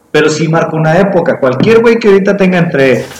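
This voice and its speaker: Over noticeable background noise, a man speaks in a high voice with lively intonation. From Mexico. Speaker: podcast co-host. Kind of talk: casual chat. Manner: animated.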